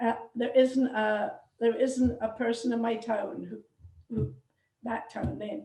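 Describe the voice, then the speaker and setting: With a Scottish accent, the speaker talks at a fairly slow pace in a monotone, flat intonation, leaving long, frequent pauses. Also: woman, fairly high pitch for a woman. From Scotland, suburb of Glasgow. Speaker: genealogy society member. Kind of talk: casual chat. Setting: video call. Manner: halting.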